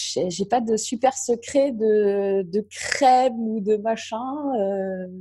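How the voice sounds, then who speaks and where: A woman speaks very slowly in a fairly high pitch with fairly even intonation, and noticeable background noise can be heard. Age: 40s. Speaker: entrepreneur. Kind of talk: casual chat. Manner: halting.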